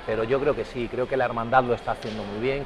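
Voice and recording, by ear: A man speaks at a medium pitch over clear background noise.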